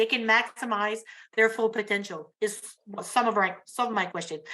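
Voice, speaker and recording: Spoken with an Acadian accent, the voice shows ordinary pitch variation. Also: woman, very clean recording, silent background. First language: French. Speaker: youth program worker. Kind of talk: audience question at symposium. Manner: halting.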